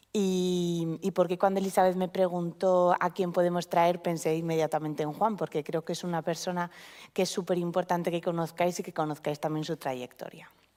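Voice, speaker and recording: On a very clean recording with a silent background, a woman speaks in a fairly low, dark, mellow voice. She keeps a moderate pace and a monotone, flat intonation. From Spain, Vitoria (Basque Country). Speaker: oncologist, panel moderator. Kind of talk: panel discussion at a live event. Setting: event venue with live audience.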